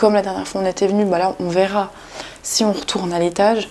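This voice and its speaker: Quiet and at a fairly quick pace, a woman speaks with a medium pitch and a monotone, flat intonation against noticeable background noise. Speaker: urbex vlogger. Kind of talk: exploration vlog narration. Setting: inside abandoned house near road. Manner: speaking quietly; hesitant, many fillers.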